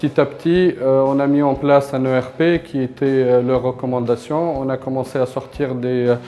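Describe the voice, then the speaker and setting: Speaking at a moderate pace with hardly any pauses, a man holds a monotone, flat intonation at a medium pitch. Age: 30s. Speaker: company founder. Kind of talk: interview testimony. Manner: halting, many hesitations.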